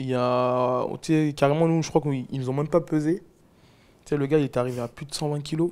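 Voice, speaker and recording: Fairly high-pitched with fairly even intonation, a man speaks at a fairly quick pace but with long, frequent pauses. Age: 20s. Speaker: MMA fighter and podcaster; podcaster. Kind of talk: casual chat. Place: home room. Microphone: lapel.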